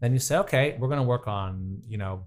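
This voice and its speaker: A man's somewhat breathy voice with ordinary pitch variation, in a very clean recording with a silent background. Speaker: personal trainer and professional dancer. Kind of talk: interview.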